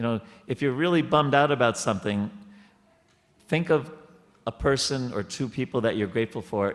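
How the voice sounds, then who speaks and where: A medium-pitched man with an American accent, lively intonation, a fairly quick pace and long, frequent pauses. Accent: New York accent, sometimes. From New York. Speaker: temple speaker. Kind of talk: spiritual discussion. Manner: halting.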